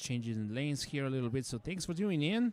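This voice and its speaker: A man's fairly high-pitched voice on a very clean recording with a silent background. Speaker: livestream operator. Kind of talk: livestream chat. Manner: loud.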